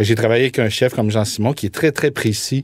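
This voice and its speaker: A man with a normal speaking voice talks at a fairly quick pace with ordinary pitch variation, captured in a very clean recording with a silent background. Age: 40s. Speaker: food entrepreneur, former media producer. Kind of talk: interview.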